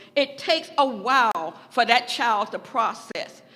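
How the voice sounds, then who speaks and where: The voice is raised and projected. It moves at a fairly slow pace. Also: woman. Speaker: psychiatric social worker. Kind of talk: public testimony. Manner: impassioned.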